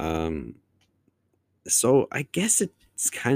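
A man's voice has a dark, mellow tone. The sound is dry and close, with no echo. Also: very clean recording, silent background. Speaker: podcast host. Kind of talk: solo casual monologue. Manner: casual with frequent fillers.

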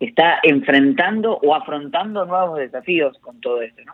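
Delivered at a moderate pace, an unremarkable speaking voice carries lively intonation. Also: man. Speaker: pastor and motivational speaker. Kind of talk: casual chat. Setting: phone call.

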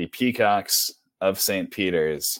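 A man talks in a plain, everyday voice. His pitch is fairly low and his pace fairly slow. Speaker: sports podcast host. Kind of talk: casual sports talk.

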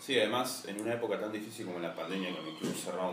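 Over noticeable background noise and audible room echo, a man with a Rioplatense accent talks at a very fast pace with ordinary pitch variation. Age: 20s. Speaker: sports journalist, podcast host. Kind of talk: interview.

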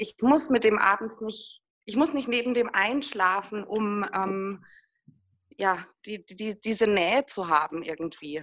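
A woman's normal speaking voice at a medium pitch, at a fairly slow pace. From Würzburg, Lower Franconia, Germany. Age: 40s. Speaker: single mother in a patchwork family. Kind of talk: interview, personal conversation.

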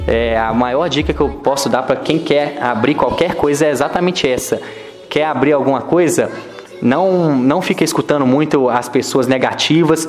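Music in the background and audible room echo behind a man's fairly high pitch, with ordinary pitch variation and very even loudness. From Minas Gerais, Brazil (Ponte Nova). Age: 20s. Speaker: e-commerce entrepreneur. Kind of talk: podcast interview.

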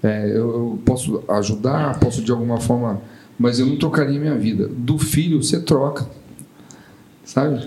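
A man with a medium pitch and ordinary pitch variation talks at a fairly slow pace, with long, frequent pauses. Noticeable background noise and audible room echo fill the recording. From São Paulo, Brazil. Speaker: tech startup founder, bereaved father. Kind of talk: podcast interview.

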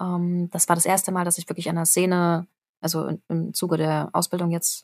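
On a very clean recording with a silent background, a woman with a fairly low pitch speaks in a monotone, flat way, the sound dry and close with no echo. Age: 30s. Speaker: actress. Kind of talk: casual chat.

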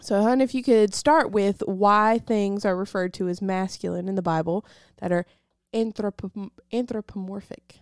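In an American accent, a woman with a medium pitch and ordinary pitch variation speaks at a moderate pace on a very clean recording with a silent background. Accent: Southern US, toned down. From US South. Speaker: Bible teacher. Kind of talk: casual Bible teaching.

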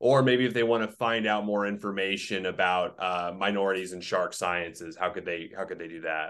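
A man with a plain, everyday voice, fairly low in pitch, at a fairly quick pace with hardly any pauses. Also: ordinary pitch variation, quiet background. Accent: American. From Oklahoma. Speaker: podcast host. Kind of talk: interview.

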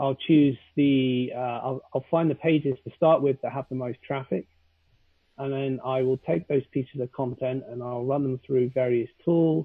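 With a British accent, a man speaks at a moderate pace and a medium pitch. His intonation stays fairly even. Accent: British, fairly posh. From London, England. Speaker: SEO consultant. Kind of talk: casual interview chat.

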